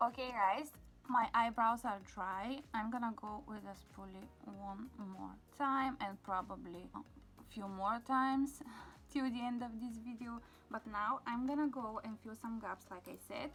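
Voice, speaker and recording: A woman with a non-native accent and a fairly high pitch speaks at a fairly slow pace, her loudness swinging widely, with music in the background. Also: ordinary pitch variation. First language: not English. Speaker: beauty vlogger. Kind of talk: makeup tutorial. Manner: casual, with fillers.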